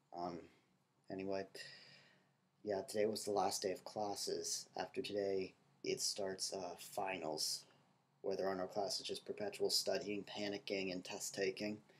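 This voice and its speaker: A man speaks quietly in a monotone, flat delivery, leaving long, frequent pauses. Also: moderate pace. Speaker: college student video blogger. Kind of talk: video diary. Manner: casual, filler-heavy.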